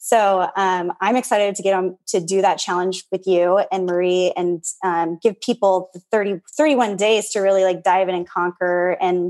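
A woman speaks at a medium pitch and a fairly slow pace, with fairly even intonation, in a normal speaking voice. The sound is dry and close with no echo, against a quiet background. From US Pacific Northwest / Hawaii. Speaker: yoga teacher and clothing entrepreneur. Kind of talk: casual interview chat.

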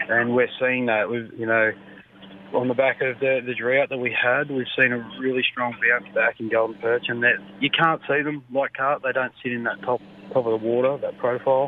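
With an Australian accent, a man speaks at a medium pitch and a moderate pace in a monotone, flat intonation. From country New South Wales, Australia. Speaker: fisheries officer. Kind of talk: radio interview.

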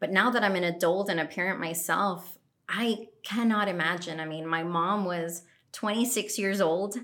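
Intonation stays fairly even. The pace is moderate, and there is audible room echo. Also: woman, medium pitch for a woman. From Colombia. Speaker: podcast guest. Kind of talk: casual chat.

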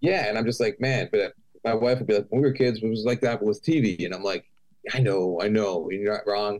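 With an unremarkable speaking voice, a man talks at a fairly quick pace, his pitch fairly low with ordinary pitch variation. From Canada, Toronto. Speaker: metal musician. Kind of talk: casual interview.

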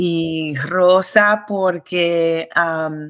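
A woman's voice at a fairly low pitch. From New York. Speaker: singer. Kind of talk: interview.

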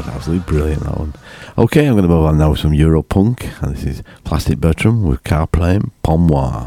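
A man's very deep, low voice with a Yorkshire accent, fairly quick and with ordinary pitch variation, dry and close with no echo, amid noticeable background noise. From Yorkshire, England. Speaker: radio DJ, show host. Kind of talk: informal. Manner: casual, chatty.

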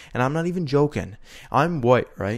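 An unremarkable speaking voice with a Canadian accent, ordinary pitch variation and a moderate pace, on a very clean recording with a silent background. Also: man. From Canada. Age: 20s. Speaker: podcast co-host. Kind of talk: casual chat.

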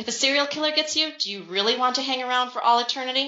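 Her voice is high for a woman, with an American accent. She moves at a fairly quick pace. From central New York. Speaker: author. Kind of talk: casual interview.

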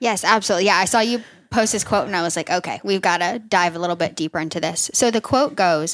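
A woman's medium-pitched voice with lively intonation, an ordinary speaking voice. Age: 30s. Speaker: nurse practitioner and health coach. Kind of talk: casual chat.

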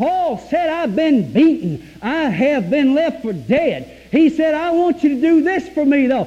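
A man with a Southern US accent talks at a fairly slow pace, with an extremely high pitch, lively intonation and hardly any pauses. Noticeable background noise and audible room echo come through. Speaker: preacher. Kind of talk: sermon. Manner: animated.

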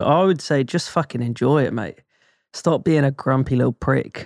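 The voice has a southern English accent and a moderate pace. The recording is very clean with a silent background, and the sound is dry and close with no echo. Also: man. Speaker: drummer. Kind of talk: casual chat. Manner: animated.

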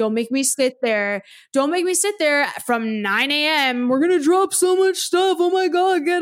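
With very wide pitch swings and an animated tone, a woman talks at a moderate pace. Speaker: film podcaster. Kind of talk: casual chat.

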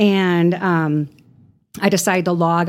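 Speaking at a fairly low pitch, a woman talks with a slight Chicago accent. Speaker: death doula and massage therapist. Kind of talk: casual interview.

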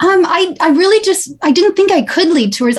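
A woman's pitch swings very widely while noticeable background noise runs underneath. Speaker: actress. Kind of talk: casual interview.

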